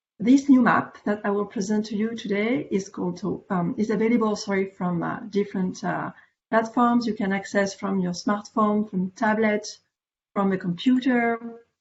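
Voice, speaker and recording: Speaking with a French accent, a woman uses a fairly high pitch and fairly even intonation at a moderate pace, her voice somewhat breathy. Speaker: veterinary parasitology specialist. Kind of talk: conference presentation. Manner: hesitant, many fillers.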